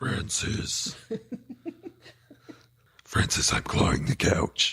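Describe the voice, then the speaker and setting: Using a put-on character voice, a man speaks very slowly at medium pitch. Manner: silly, demanding.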